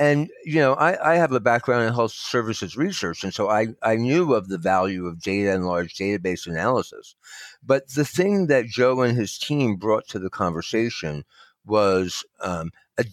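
A man with an American accent, medium pitch, very wide pitch swings and a moderate pace, in a very clean recording over a silent background. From New Jersey. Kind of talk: interview.

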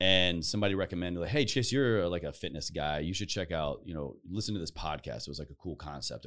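This is a man speaking. His voice has vocal fry. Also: very clean recording, silent background. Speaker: podcaster. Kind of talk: casual interview chat.

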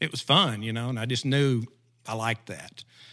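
A man in an Arkansas accent speaks at medium pitch and moderate pace with monotone, flat intonation, in a very clean recording with a silent background. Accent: Southern US (Arkansas). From Southeast Arkansas. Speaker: retriever dog trainer. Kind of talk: casual interview.

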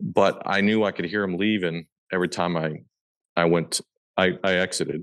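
With a US Midwestern accent, a man speaks in a very deep, low pitch and a monotone, flat intonation at a moderate pace, leaving long, frequent pauses against a quiet background. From Nebraska, Omaha area. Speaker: hunter and land investor. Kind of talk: casual interview.

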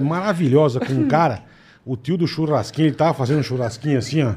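Talking at a very fast pace, a man with a fairly high pitch uses ordinary pitch variation in a dark, mellow, somewhat breathy voice. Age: 50s. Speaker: podcast co-host. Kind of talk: casual chat.

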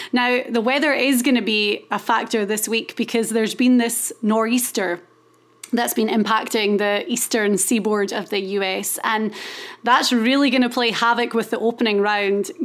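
A woman with a Scottish accent speaks at a moderate pace. Her pitch is fairly high and her intonation fairly even. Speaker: golf podcast host. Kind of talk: casual chat.

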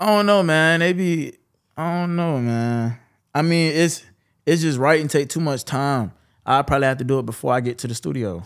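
Lively intonation from a man at a fairly high pitch and moderate pace, in a very clean recording with a silent background. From Jacksonville, Florida (Westside). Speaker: rapper. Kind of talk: interview.

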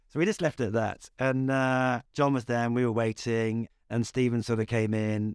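Here a man speaks in a West Midlands accent. The sound is dry and close with no echo, on a very clean recording with a silent background. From West Midlands, England. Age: 40s. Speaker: film and TV director. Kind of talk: interview.

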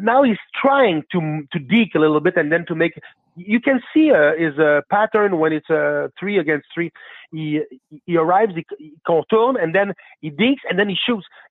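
A man with a Quebec accent talks at a moderate pace, his pitch high and his intonation lively. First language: French. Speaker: caller. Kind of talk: casual chat.

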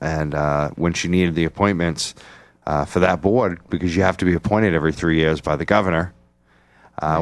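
A man's very deep, low voice with an American accent, on a very clean recording with a silent background. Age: old. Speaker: radio host. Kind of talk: casual chat. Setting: studio. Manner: loud.

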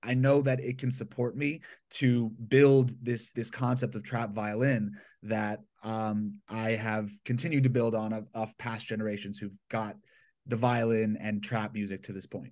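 Against a quiet background, a man with a plain, everyday voice talks fairly slowly at a medium pitch with ordinary pitch variation. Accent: American. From Atlanta, Georgia, US South. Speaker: violinist and hip-hop producer. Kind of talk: casual interview. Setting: remote call from his bedroom.

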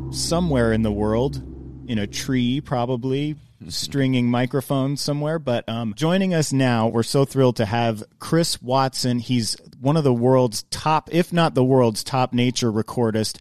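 Noticeable background noise sits behind a man who keeps a moderate pace. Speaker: podcast host. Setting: studio in Los Angeles.

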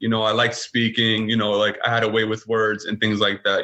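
The speaker is a man with a New York accent. His pitch sits in the medium range. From Brooklyn, New York City. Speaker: father and masculinity podcaster. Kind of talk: interview conversation.

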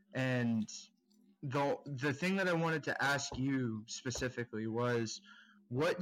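In a very clean recording with a silent background, a man speaks at a medium pitch and a fairly slow pace. He has an American accent and an ordinary speaking voice. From South Florida. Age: 20s. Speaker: viewer in a group support session. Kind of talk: group therapy session.

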